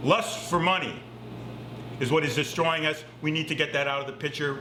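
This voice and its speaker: A man talks in a room with audible echo, and noticeable background noise is present. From Massachusetts, US. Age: 60s. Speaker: climate activist. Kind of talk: recorded statement. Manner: impassioned.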